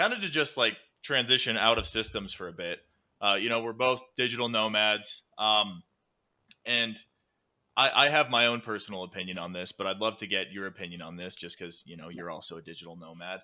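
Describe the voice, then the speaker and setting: A man with an American accent talks at a fairly quick pace, his fairly low voice bright and sharp in tone with ordinary pitch variation. The recording is very clean, with a silent background. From USA. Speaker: podcast host. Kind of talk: podcast interview.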